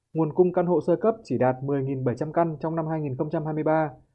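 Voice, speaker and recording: Ordinary pitch variation runs through this plain, everyday voice. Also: man. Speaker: radio reporter. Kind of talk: news report.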